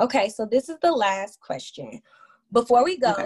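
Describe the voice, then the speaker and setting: This woman has an unremarkable speaking voice with a fairly high pitch. She talks at a moderate pace. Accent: American. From Chicago South Side. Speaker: podcast host. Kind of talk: scripted intro; casual interview.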